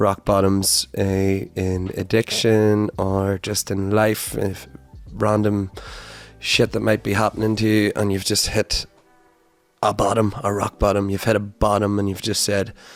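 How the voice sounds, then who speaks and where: A man's fairly low voice, fairly slow and monotone with flat intonation, music in the background. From Northern Ireland, Donegal. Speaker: podcast host. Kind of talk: casual monologue.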